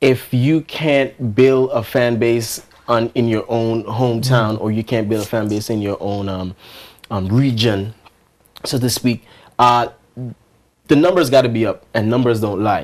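Pausing long and often, a man speaks at a moderate pace and medium pitch with ordinary pitch variation. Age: young. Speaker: R&B singer; interviewee. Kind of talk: interview. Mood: earnest, reflective. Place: studio.

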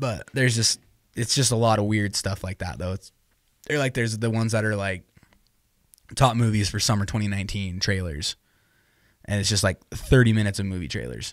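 At a moderate pace with long, frequent pauses, a man speaks at a fairly low pitch with ordinary pitch variation. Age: 20s. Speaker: student podcast co-host. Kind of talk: casual chat. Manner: animated.

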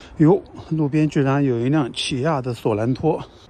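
At a fairly slow pace with ordinary pitch variation, the voice sounds dry with no echo over light background noise. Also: man. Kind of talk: casual vlog commentary. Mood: relaxed, mildly excited. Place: street. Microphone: phone near.

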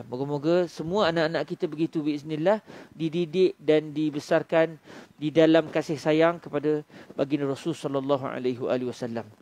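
A man with a Malaysian accent speaks at a fairly slow pace with a fairly high pitch and fairly even intonation. The sound is dry, with no echo. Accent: Malaysian Malay. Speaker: Islamic preacher. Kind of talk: religious lecture. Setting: surau, after dawn prayer. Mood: calm, warm teaching tone. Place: hall. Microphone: headset.

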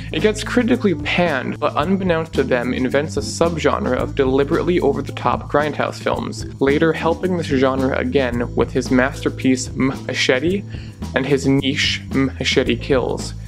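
A man talks at a moderate speed. There is music behind him. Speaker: video essayist. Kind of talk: video essay narration.

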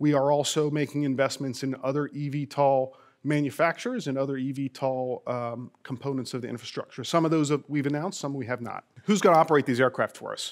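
A man's fairly high voice at a very fast pace, on a very clean recording with a silent background. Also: fairly even intonation. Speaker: airline executive. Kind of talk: presentation speech. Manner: halting, many fillers.

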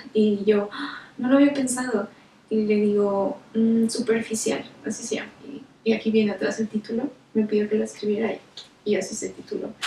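Light background noise and audible room echo surround a woman's voice. She speaks at a moderate pace with ordinary pitch variation. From northern Mexico, Nuevo León. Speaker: visual artist. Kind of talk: personal account. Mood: calm, reflective storytelling. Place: home room.

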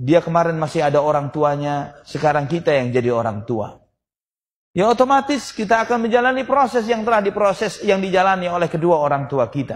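A man speaks at a high pitch. His voice swings very widely up and down. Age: 40s. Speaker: Islamic preacher. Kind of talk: sermon. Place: hall. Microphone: podium.

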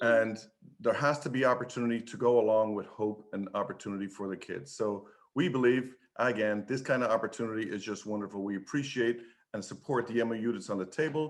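At a fairly quick pace, a man talks with an Irish accent. His pitch is medium, with ordinary variation. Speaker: public commenter, trade union advocate. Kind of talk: public comment at board meeting.

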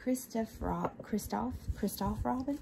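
A woman speaks softly with a Southern US accent. Noticeable background noise sits behind her. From Southern United States. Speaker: ASMR creator. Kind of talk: ASMR unboxing show and tell. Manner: soft-spoken. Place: home room.

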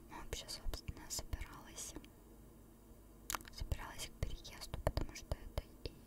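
A whisper delivered at a moderate pace. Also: woman. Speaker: ASMR creator. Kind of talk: ASMR chat. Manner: whispered. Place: home room. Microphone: studio mic.

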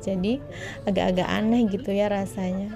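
A woman speaks at a moderate pace with ordinary pitch variation. Clear music plays in the background. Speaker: food vlogger. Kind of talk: casual vlog chat. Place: cafe. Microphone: phone near.

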